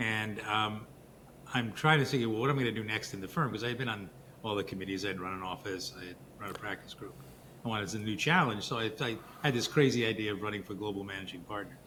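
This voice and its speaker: At a very fast pace, a man talks in a fairly low voice with audible room echo. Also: ordinary pitch variation. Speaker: lawyer and author. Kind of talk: interview.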